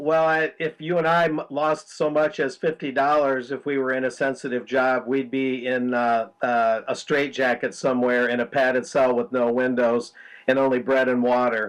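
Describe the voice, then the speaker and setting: Over a quiet background, a man in a plain, everyday voice talks at a moderate pace and medium pitch with fairly even intonation and hardly any pauses. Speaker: journalist. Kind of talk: news discussion. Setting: video call.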